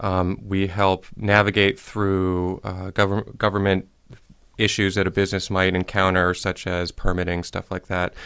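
A man with a Midwestern accent speaks at a fairly slow pace. His pitch is fairly low and his intonation monotone and flat. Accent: general American, Midwest. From US Midwest, Ohio (Shaker Heights). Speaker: community development director. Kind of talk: radio interview. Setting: studio.

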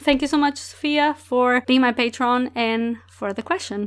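On a very clean recording with a silent background, a woman in a Portuguese accent talks at a moderate pace and a high pitch, with ordinary pitch variation. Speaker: book podcast host. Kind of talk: solo podcast monologue, book reviews.

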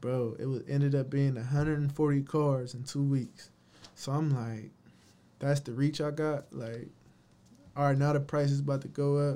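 Here a man speaks at a fairly high pitch with a dark, mellow tone and monotone, flat intonation. His pace is moderate, broken by long, frequent pauses. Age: 20s. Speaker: entrepreneur, clothing brand and car detailing owner. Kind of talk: casual chat.

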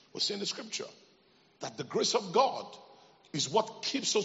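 Noticeable background noise sits behind a man with a high pitch. His tone is animated and his intonation lively. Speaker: preacher. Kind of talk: sermon. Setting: church with congregation. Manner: animated, call-and-response; emphatic, repetitive.

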